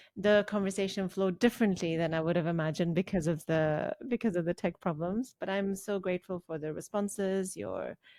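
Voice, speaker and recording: A woman with a non-native accent talks at a fairly quick pace with hardly any pauses, at a medium pitch and with fairly even intonation. Her tone is dark and mellow, in a very clean recording with a silent background and a dry, close sound with no echo. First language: not English. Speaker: podcast host. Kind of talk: podcast interview.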